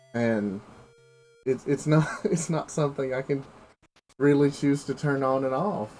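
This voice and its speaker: A man with an American accent and a fairly high pitch at a fairly slow pace, with ordinary pitch variation, long, frequent pauses, and music in the background. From US South, Appalachia, Tennessee. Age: 20s. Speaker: video game streamer. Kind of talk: casual chat. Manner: halting, many fillers and repeats.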